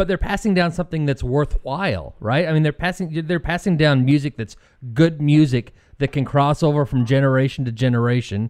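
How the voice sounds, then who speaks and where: In a very clean recording with a silent background, a man with a fairly high, unremarkable speaking voice talks at a fairly quick pace with ordinary pitch variation. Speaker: podcast co-host. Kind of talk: casual chat. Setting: studio.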